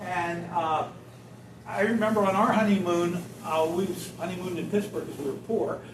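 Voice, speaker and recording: A man with an American accent speaks at a moderate pace in a high voice, his intonation fairly even, with noticeable background noise and audible room echo. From western Pennsylvania. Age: 60s. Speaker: doctor giving a talk. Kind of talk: talk to a senior audience. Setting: senior center audience. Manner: casual, anecdotal, many fillers.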